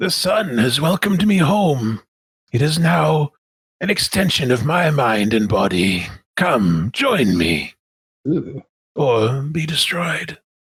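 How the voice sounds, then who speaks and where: In a raspy, put-on character voice, a man speaks at a fairly high pitch and a fairly slow pace, with very wide pitch swings. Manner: ominous, sinister.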